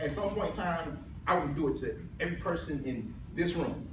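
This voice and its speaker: A man's high-pitched voice at a moderate pace with ordinary pitch variation, amid noticeable background noise and audible room echo. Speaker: public speaker who stutters. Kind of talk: humorous speech. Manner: repetitions and blocks on sounds.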